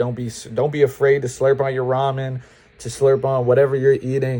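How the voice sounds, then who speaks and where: With an American accent, a man speaks at a medium pitch in a somewhat breathy, dark, mellow tone. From upstate New York. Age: 20s. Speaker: student vlogger. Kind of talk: casual advice vlog. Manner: casual, conversational.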